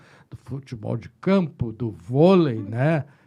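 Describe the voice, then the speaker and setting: Dark and mellow in tone, this man's voice sits at a medium pitch and is somewhat breathy. His intonation is lively. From Rio Grande do Sul, Brazil (Pelotas). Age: 60s. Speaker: psychiatrist. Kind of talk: casual chat.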